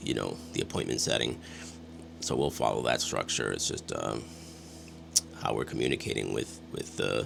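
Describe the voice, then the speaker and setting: A man's voice with music in the background. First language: Spanish. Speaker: real estate agent. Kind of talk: casual talk to camera. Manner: halting, many fillers and restarts.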